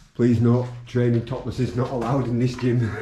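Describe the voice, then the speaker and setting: Light background noise and audible room echo around a male speaker. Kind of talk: casual vlog commentary. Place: hall. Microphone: phone near.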